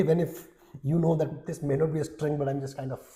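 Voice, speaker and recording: His tone is dark and mellow, with a somewhat breathy quality. The man's pitch is fairly high. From India, Odisha. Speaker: HR executive. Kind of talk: interview conversation.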